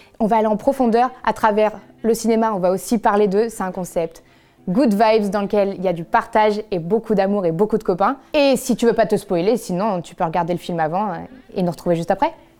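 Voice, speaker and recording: In a dark, mellow tone, a woman speaks at a fairly quick pace with ordinary pitch variation. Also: medium pitch for a woman. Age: 20s. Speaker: podcast host. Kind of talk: casual chat. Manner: animated.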